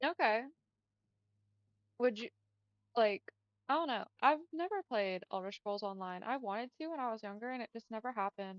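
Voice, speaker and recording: In an American accent, a woman with a fairly high pitch and lively intonation speaks at a moderate pace, leaving long, frequent pauses. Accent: southern US, noted by out-of-state customers. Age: 20s. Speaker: gaming streamer. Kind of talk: casual chat. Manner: casual, filler-heavy speech.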